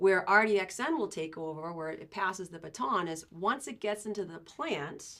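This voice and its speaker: Speaking at a moderate pace, a woman talks with a Boston accent. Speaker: agricultural sales representative. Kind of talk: podcast interview. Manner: conversational, many fillers.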